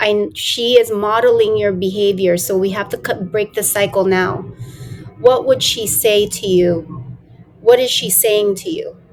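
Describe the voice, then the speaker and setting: A woman speaks fairly slowly at a medium pitch with ordinary pitch variation, over noticeable background noise. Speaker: transformational coach, podcast host. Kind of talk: podcast interview host.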